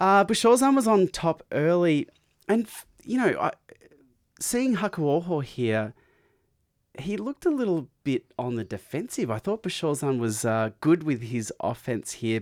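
A man with an Australian accent and a high pitch speaks at a fairly slow pace with very wide pitch swings and long, frequent pauses. The recording is very clean, with a silent background. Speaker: podcast co-host. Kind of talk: casual chat.

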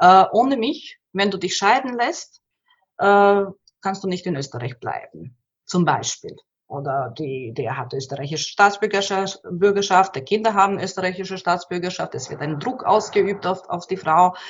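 A woman's medium-pitched voice, fairly slow in pace, with lively intonation. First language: Bosnian/Croatian/Serbian (speaking German). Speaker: migrant women's counsellor. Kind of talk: interview. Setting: at her workplace. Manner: halting, many repetitions.

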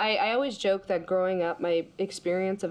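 With noticeable background noise behind her, a woman with an American accent speaks at a fairly quick pace. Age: 30s. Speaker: consultant. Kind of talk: casual chat.

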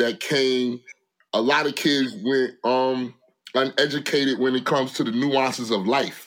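This is an unremarkable speaking voice from a man at medium pitch. He speaks at a fairly slow pace with ordinary pitch variation. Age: 40s. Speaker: rapper and clothing entrepreneur. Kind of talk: casual chat.

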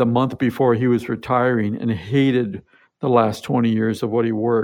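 With a Pacific Northwest accent, a man speaks fairly slowly at a medium pitch with fairly even intonation. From US Pacific Northwest, Tacoma, Washington. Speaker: entrepreneur and author. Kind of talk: interview.

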